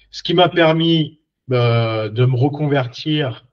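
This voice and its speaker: A man's somewhat breathy voice at a very slow pace, with ordinary pitch variation. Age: 40s. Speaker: career coach, former mechanic. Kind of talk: personal story monologue. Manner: hesitant, many fillers.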